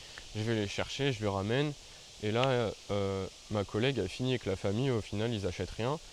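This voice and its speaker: Fairly low male speech, moderately paced, its pitch varying in an ordinary way. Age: 20s. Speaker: YouTuber. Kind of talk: storytelling vlog. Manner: casual, hesitant with fillers.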